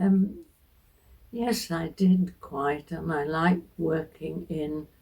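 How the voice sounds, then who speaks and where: With a dark, mellow tone and a somewhat breathy quality, a woman speaks at a very slow pace in a fairly low pitch, using ordinary pitch variation and long, frequent pauses. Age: 80s+. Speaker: retired biologist. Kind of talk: interview answer.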